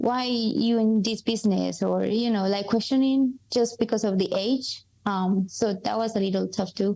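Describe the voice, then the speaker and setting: A woman's dark, mellow, fairly high voice at a moderate pace, with fairly even intonation, very even loudness and hardly any pauses, in a very clean recording with a silent background. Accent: strong Colombian. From Colombia. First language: Spanish. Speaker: coffee importer. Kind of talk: podcast interview. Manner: hesitant, many fillers.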